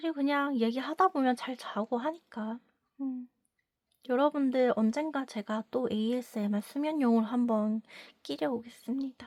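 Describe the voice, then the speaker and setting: Against a silent background in a very clean recording, a woman speaks at a moderate pace with a high pitch and ordinary pitch variation. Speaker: sex educator and counselor. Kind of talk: casual advice monologue.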